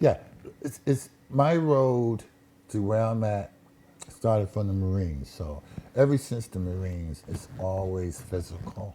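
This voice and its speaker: A man with an American accent and a plain, everyday voice speaks at a fairly slow pace, his fairly low pitch carrying lively intonation. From Connecticut, Waterbury. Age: 60s. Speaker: musician, ex-Marine. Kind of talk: casual chat.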